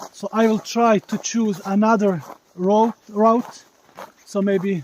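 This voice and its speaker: With a Balkan accent, a high-pitched man speaks at a fairly slow pace and with fairly even intonation. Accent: Balkan accent, strong rolled r. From Bosnia. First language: Bosnian (Slavic). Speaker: live streamer. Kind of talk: live stream commentary on nature walk. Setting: outdoors in forest, mobile stream. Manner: halting, with fillers.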